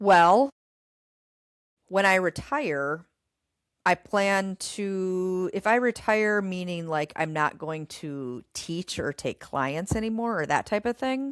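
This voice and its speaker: In a very clean recording with a silent background and a dry, close sound with no echo, a woman speaks at a very slow pace and a medium pitch. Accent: Upper Midwest. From Minnesota (Goodview, near Winona). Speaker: gym owner and fitness trainer. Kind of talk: casual interview chat. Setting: live stream interview.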